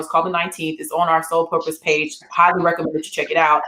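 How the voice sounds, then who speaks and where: Very fast pace and an animated tone, with noticeable background noise. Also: woman. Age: 40s. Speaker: talk show host. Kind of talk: panel discussion.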